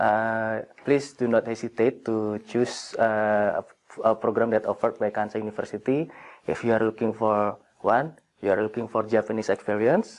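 The speaker has an Indonesian accent and keeps a moderate pace. The intonation stays fairly even. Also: man, medium pitch for a man. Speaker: graduate student. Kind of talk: interview. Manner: halting. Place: hall.

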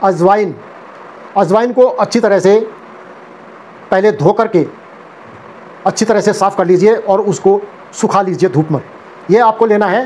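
Over light background noise, a man with a high pitch talks fairly slowly and evenly, with long, frequent pauses. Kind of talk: health advice talk to camera. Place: home room. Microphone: lapel.

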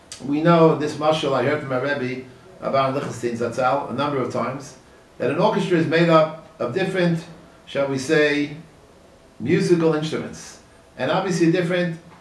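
A man at a moderate pace with ordinary pitch variation, in audible room echo. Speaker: religious teacher. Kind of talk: sermon. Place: office.

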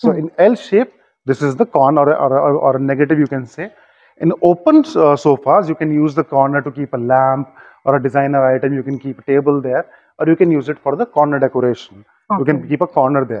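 The delivery comes at a very fast pace with ordinary pitch variation. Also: man. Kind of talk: interview answer, product explanation.

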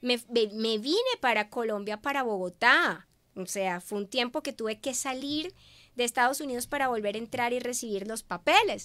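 Against a quiet background, a woman speaks in a high pitch with a bright, sharp tone and ordinary pitch variation. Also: moderate pace. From Venezuela. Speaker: businesswoman and media host; interview guest. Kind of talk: interview. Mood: warm, reflective testimony. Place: studio. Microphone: studio mic.

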